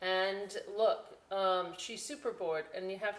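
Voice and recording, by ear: The text is read aloud in a natural voice, with intonation that stays fairly even.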